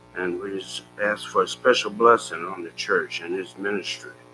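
A man speaks at a fairly slow pace with a fairly low pitch and ordinary pitch variation. Music plays in the background. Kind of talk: prayer. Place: church. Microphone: podium.

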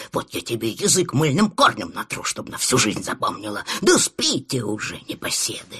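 A man talks at a moderate pace with a medium pitch. His pitch swings very widely. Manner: grumbling, scolding, weary.

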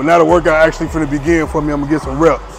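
Clear music plays in the background. Over it, a man speaks in a monotone, flat intonation. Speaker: fitness creator. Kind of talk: casual vlog chat. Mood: confident, dismissive of critics. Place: gym. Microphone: lapel.

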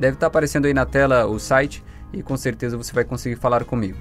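Faint music plays in the background. A man speaks at a very fast pace. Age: young. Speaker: voice actor. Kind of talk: casual talk to camera. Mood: friendly, reassuring. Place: booth. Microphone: studio mic.

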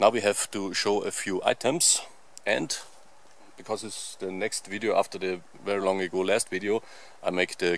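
A man's fairly low voice at a moderate pace, with fairly even intonation and a dry sound with no echo. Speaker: outdoor channel host. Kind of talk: casual vlog chat. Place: forest. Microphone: phone near.

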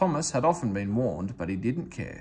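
At a moderate pace, a man speaks at a medium pitch with big pitch swings and a slightly mellow tone.

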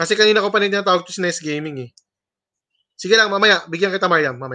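Over a quiet background, a man with a high pitch and a bright, sharp tone talks in a raised, projected voice with ordinary pitch variation. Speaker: livestream host. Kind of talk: livestream hosting, casual chat with viewers. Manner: loud; animated. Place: home room. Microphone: webcam.

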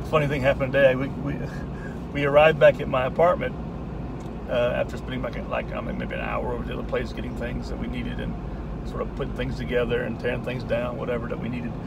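A man speaks at a very fast pace in a dry sound with no echo, over loud background noise. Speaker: vlogger. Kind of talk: casual vlog chat. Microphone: phone near.

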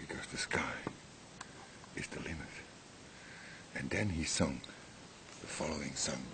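A man whispering at a moderate pace. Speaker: amateur vlogger. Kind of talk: casual rambling vlog chat. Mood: irritated, joking. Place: garden. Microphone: webcam.

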